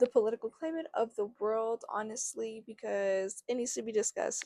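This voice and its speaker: With an American accent, a woman speaks at a fairly quick clip in an animated tone, the sound dry and close with no echo. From New Mexico, US. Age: 20s. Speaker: podcast host. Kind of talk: casual solo podcast monologue.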